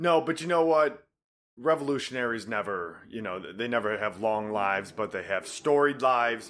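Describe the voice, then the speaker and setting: This man has a normal speaking voice at a medium pitch. He talks at a moderate pace with lively intonation. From Detroit area, Michigan. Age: 20s. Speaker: podcast co-host. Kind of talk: casual chat.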